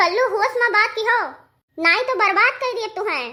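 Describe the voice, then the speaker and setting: In a cartoonish character voice, a woman chatters at an extremely high pitch and a very fast pace. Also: ordinary pitch variation. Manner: curt, dismissive.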